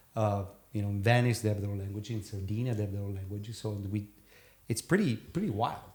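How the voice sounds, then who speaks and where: Somewhat breathy speech in a Neapolitan accent comes at a very fast pace with fairly even intonation. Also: man, fairly low pitch for a man. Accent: Italian (Neapolitan) accent in English. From Naples, southern Italy. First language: Italian. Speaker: sail and board gear designer, entrepreneur. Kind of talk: casual podcast interview. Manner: halting, many fillers.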